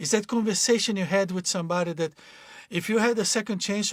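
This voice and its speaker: The speaker is a man with a Portuguese accent. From Brazil. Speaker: life coach. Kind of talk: motivational talk. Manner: halting.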